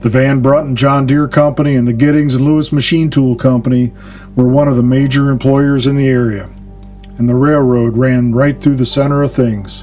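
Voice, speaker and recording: Music plays in the background as the speaker delivers lines at a moderate pace in a monotone, flat intonation. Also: man, medium pitch for a man. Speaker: podcast host. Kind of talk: dramatic history narration.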